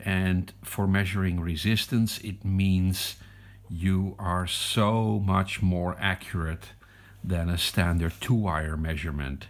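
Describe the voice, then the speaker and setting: In a Dutch accent, a man speaks at a very slow pace with a very deep, low pitch. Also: fairly even intonation. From Netherlands. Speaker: electronics hobbyist. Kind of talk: product review. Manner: hesitant.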